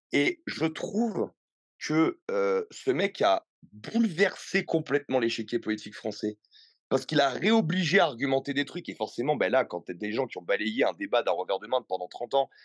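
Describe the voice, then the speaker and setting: Against a quiet background with a dry, close sound with no echo, a man in an animated tone and fairly high pitch takes a moderate pace with very wide pitch swings. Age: 30s. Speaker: fitness coach. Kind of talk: podcast interview. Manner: hesitant fillers.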